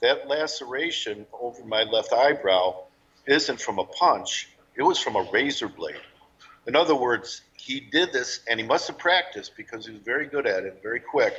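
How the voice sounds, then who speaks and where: The speech goes at a moderate pace with big swings in loudness. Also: man. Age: 60s. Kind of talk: interview testimony.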